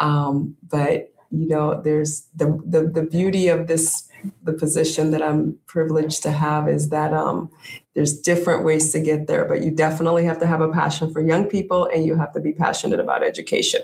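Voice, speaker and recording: At a fairly quick pace, a woman speaks in a monotone, flat way. Her pitch is very deep and low. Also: very even loudness. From US, inner city, child of West African immigrants. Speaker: university administrator. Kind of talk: interview.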